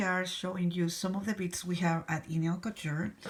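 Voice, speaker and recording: A woman speaks at a medium pitch. She has a non-native accent. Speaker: nail technician. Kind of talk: product tutorial demo. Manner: casual, hesitant.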